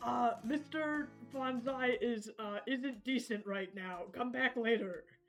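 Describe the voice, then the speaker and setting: Over faint background music, a female-sounding put-on character voice speaks high in pitch at a fairly slow pace. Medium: actual play. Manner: hasty, anxious bluffing.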